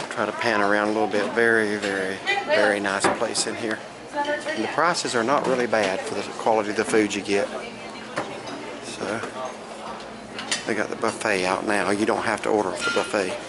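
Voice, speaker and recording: Loud background noise fills the clip as the speaker talks at a fairly quick pace. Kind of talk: casual vlog chat. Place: shop. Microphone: phone near.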